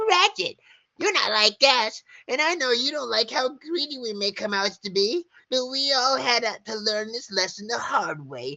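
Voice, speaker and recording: The speaker puts on a character voice, fairly high in pitch, at a moderate pace. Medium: read story. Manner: grim, resentful.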